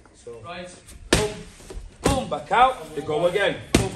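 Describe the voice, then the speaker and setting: A man talks fairly slowly, his words set against loud background noise. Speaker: martial arts coach. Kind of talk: coaching instructions. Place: gym. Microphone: camera far.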